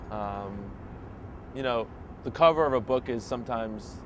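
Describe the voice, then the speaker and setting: The speaker is a man. He has an American accent. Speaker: street interviewee. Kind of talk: street interview. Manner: halting, many fillers.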